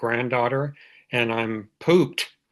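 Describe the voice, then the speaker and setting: The voice carries an American accent and ordinary pitch variation. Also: man, quiet background. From United States, army family moving often. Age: 70s. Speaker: recovering alcoholic sharing his story. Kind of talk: testimony. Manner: halting, many fillers.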